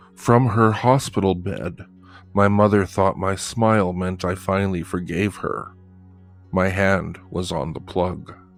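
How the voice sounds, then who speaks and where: A man's very deep, low voice at a fairly slow pace, with music in the background. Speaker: horror story narrator. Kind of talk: horror story narration.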